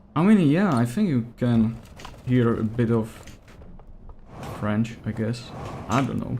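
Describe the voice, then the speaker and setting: In a Czech accent, a man with a medium pitch talks at a moderate pace. His speech has long, frequent pauses. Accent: non-native English, Czech. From Czech Republic. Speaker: gaming streamer. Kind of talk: live gameplay commentary. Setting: livestream. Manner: casual, hesitant with fillers.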